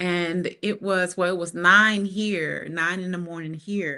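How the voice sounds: A woman in a New Orleans accent, slow, fairly low in pitch and bright and sharp in tone, on a very clean recording with a silent background.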